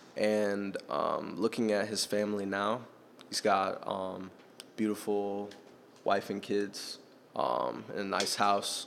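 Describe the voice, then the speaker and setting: Speaking very slowly with long, frequent pauses, a man keeps a fairly low pitch and fairly even intonation. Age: young. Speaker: podcast host. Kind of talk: casual chat.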